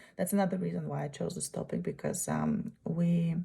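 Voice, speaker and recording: A woman in a Russian accent talks at a moderate pace. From Uzbekistan. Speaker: graduate student. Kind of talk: presentation. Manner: halting.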